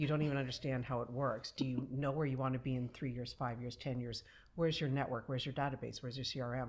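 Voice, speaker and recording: Speaking very fast, a woman uses a very deep, low pitch and a monotone, flat intonation in a very clean recording with a silent background. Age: 50s. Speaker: entrepreneur and publisher. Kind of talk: casual chat. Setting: filmed studio conversation.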